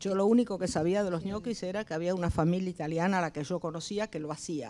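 A woman speaks at a fairly quick pace. Her voice is fairly low, with a dark, mellow tone. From Argentina, Entre Ríos; Argentina. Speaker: retired advertising creative; panelist. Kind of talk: panel discussion. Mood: calm, reflective. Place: hall. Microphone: handheld.

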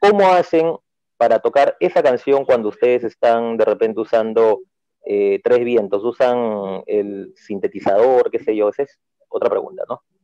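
Fairly slow speech from a man in a dry, close sound with no echo. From Peru, Lima. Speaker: DJ, audience member. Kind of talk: Q&A question on video call.

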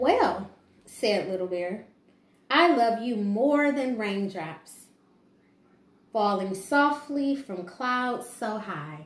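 Audible room echo surrounds this woman's fairly high voice. She talks at a very slow pace. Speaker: preschool teacher. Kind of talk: children's picture book read-aloud. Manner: calm, gentle. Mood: calm, gentle. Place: home room. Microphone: camera far.

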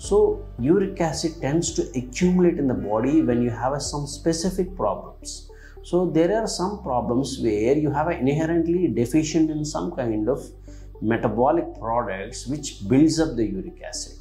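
Faint music sits in the background. Over it, the man talks at a moderate pace. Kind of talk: medical explainer. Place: office. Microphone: lapel.

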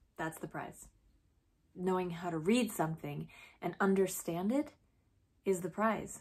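A woman sounds somewhat breathy, with ordinary pitch variation. The background is quiet. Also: fairly slow pace. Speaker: teacher-like speaker addressing students. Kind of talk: motivational speech to camera. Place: home room. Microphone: phone near.

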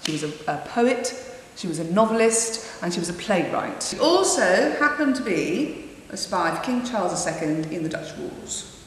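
Very wide pitch swings mark a woman's speech at a moderate pace. Audible room echo and light background noise are present. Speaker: actor and playwright. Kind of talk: interview answer. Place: empty room.

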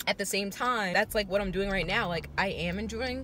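A woman's voice with ordinary pitch variation, dry sound with no echo and light background noise. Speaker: vlogger. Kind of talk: casual vlog chat. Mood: reflective, a bit frustrated. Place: car. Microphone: phone near.

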